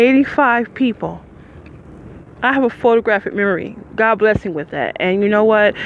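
A woman with a medium pitch and ordinary pitch variation talks at a fairly quick pace amid noticeable background noise. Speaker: podcaster, formerly homeless. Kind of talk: casual monologue. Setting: outdoors at a bus stop.

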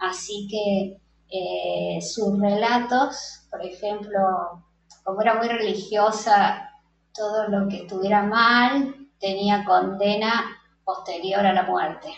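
A woman's medium-pitched voice at a very slow pace with fairly even intonation. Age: 50s. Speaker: psychologist and photographer. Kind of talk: interview.

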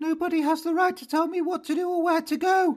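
In a put-on character voice, someone shouts in falsetto at a very fast pace with monotone, flat intonation. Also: man, extremely high pitch for a man. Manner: screaming.

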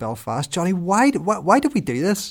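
A man with a Northern Irish accent. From Northern Ireland, rural. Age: 40s. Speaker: Presbyterian minister and podcast co-host. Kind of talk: casual chat.

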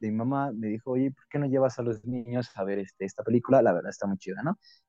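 Music in the background beneath speech of ordinary pitch variation. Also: man. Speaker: podcast host. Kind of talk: casual chat.

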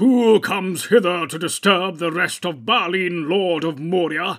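Putting on a character voice, a man talks loudly at a moderate pace in a high, raspy voice. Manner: loud, commanding cry.

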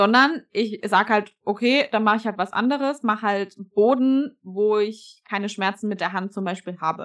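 Against a quiet background, a woman with a normal speaking voice and fairly high pitch talks at a moderate pace with ordinary pitch variation and hardly any pauses. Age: 20s. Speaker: fitness athlete and coach. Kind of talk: casual chat.

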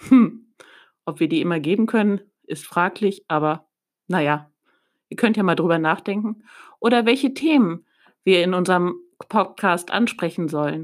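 At a moderate pace with long, frequent pauses, a woman with a medium pitch speaks with lively intonation on a very clean recording with a silent background. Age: 40s. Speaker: church children's podcast host. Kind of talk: talk addressed to children.

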